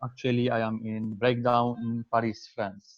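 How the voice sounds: At a moderate pace and medium pitch, a man talks with little pitch movement in a dry, close sound with no echo.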